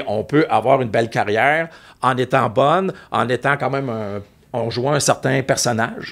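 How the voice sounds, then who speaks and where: A man in a Quebec accent, medium pitch, ordinary pitch variation, moderate pace. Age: 60s. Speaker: music TV host and music expert. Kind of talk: casual chat.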